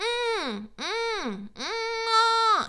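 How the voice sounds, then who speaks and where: A woman speaks with a non-native accent. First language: not English. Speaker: vocal coach and singer. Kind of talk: reaction video with vocal analysis. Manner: halting, many fillers.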